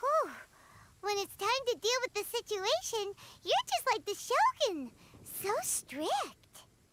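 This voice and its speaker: At an extremely high pitch, a put-on character voice moves at a fairly slow pace with long, frequent pauses. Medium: video game. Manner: chirpy.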